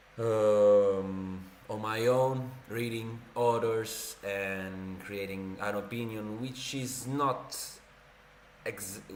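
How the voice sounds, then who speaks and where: Amid noticeable background noise and audible room echo, a man with an Italian accent speaks at a very slow pace in a fairly low pitch with fairly even intonation. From Italy. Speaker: streamer. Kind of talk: casual livestream chat and reading. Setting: livestream. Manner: casual, hesitant with fillers.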